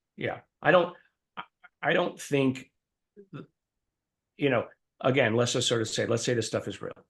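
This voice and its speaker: The man's voice is medium in pitch and somewhat breathy, with ordinary pitch variation. He keeps a moderate pace but leaves long, frequent pauses. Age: 60s. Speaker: professor and scientist. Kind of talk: interview. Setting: podcast. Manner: halting.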